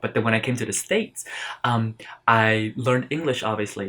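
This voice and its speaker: A man with an American accent and a medium pitch. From Philippines-born, raised in the US.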